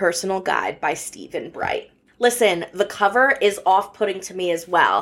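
A woman with a plain, everyday voice speaks at medium pitch and a moderate pace, with ordinary pitch variation. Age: 20s. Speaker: podcast host. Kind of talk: casual chat.

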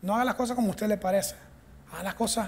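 Here a man is talking. His pitch is high. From Venezuela. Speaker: pastor. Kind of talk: sermon. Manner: animated.

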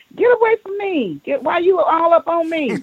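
A woman does a put-on character voice. It is squeaky and pitched extremely high. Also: moderate pace. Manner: irritated, bickering.

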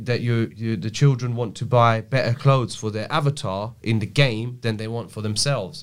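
On a very clean recording with a silent background, a man with a plain, everyday voice speaks at medium pitch and moderate pace with ordinary pitch variation. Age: 30s. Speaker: crypto and blockchain specialist. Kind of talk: casual interview chat. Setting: studio.

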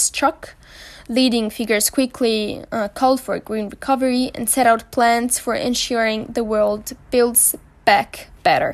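The delivery comes at a fairly slow pace with monotone, flat intonation. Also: woman. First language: French. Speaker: student podcast columnist. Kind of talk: scripted news segment.

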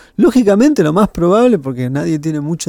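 A man's dark, mellow tone comes through at a fairly quick pace. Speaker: film critic and teacher. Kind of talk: casual chat.

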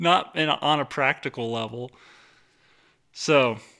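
A man's tone is bright and sharp. The recording is very clean, and the background is silent. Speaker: podcast host. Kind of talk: casual comedic banter. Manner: joking, rambling.

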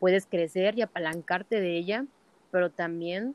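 A woman talks at a moderate pace in an unremarkable speaking voice. Her pitch is medium, with ordinary pitch variation. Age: 20s. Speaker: entrepreneur. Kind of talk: interview.

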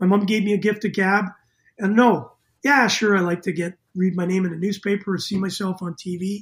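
On a very clean recording with a silent background, a man talks at a fairly quick pace and high pitch with fairly even intonation. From Canada, Winnipeg, Manitoba. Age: 60s. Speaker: former pro hockey player and coach. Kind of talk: casual interview.

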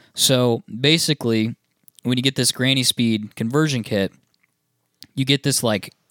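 On a very clean recording with a silent background and a dry, close sound with no echo, a man speaks at a fairly slow pace in a medium pitch with ordinary pitch variation. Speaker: podcast host. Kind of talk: casual chat.

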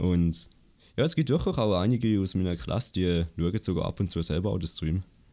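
At a fairly quick pace, a man speaks in a very deep, low pitch with a dark, mellow tone and ordinary pitch variation. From Switzerland, Appenzell. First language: Swiss German (speaking German). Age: under 20. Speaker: Twitch streamer and student. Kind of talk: casual interview. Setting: online call.

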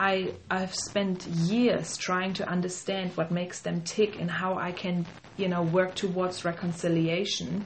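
A woman at a fairly slow pace with hardly any pauses, medium pitch and monotone, flat intonation, over noticeable background noise. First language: German. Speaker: podcast co-host. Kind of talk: casual chat.

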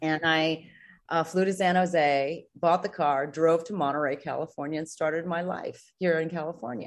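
A woman with an American accent and an ordinary speaking voice talks at a moderate pace in a fairly low pitch, against a quiet background. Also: fairly even intonation. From Singapore and New York City. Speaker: former TV news anchor and realtor. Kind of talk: casual interview chat.

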